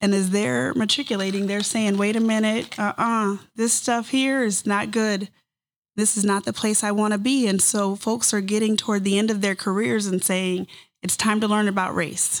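At a moderate pace and a medium pitch, a woman speaks in a plain, everyday voice with fairly even intonation and very even loudness. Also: very clean recording, silent background. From Kansas small town. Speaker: nonprofit CEO. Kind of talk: live podcast panel discussion. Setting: live event with audience.

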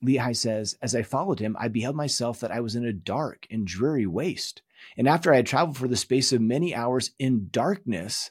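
With a normal speaking voice, a man talks at a fairly quick pace and a medium pitch. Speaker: course teacher. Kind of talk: lecture.

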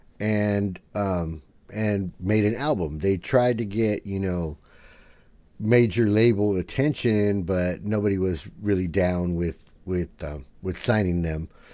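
An American accent marks a man's fairly low voice as he speaks at a very slow pace. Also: ordinary pitch variation. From San Diego, California. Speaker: podcast host. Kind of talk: casual chat. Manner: casual, filler-heavy.

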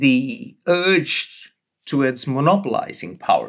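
The man's pitch swings very widely. He speaks at a very slow pace. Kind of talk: interview.

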